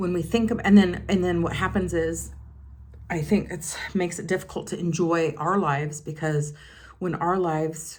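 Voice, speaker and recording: In audible room echo, a woman with a fairly low pitch and vocal fry talks at a moderate pace, her intonation fairly even and her loudness swinging widely. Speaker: beauty vlogger. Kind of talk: casual chat.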